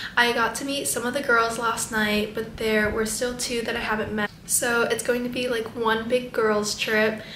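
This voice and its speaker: A woman speaks in a monotone, flat intonation at a moderate pace, with audible room echo and light background noise. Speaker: travel vlogger. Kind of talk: casual vlog chat. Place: home room. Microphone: phone near.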